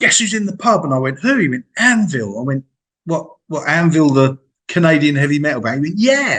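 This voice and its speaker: A man with a fairly high pitch and an English accent, at a fairly quick pace. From England. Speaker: music interviewer. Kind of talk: casual interview chat.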